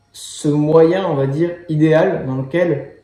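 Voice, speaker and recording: Over music in the background, a man speaks in a fairly high pitch with fairly even intonation and audible room echo. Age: 20s. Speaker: life coach. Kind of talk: personal monologue to camera. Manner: hesitant, many fillers.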